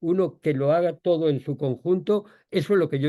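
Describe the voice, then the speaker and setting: A man's dark, mellow tone at a moderate pace, with fairly even intonation. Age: 70s. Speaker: author and food policy expert. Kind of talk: answering audience questions. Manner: halting, with repetitions.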